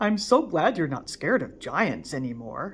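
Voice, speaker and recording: A woman puts on a character voice at medium pitch, swinging very widely in pitch at a moderate pace. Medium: read story. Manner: gentle, friendly.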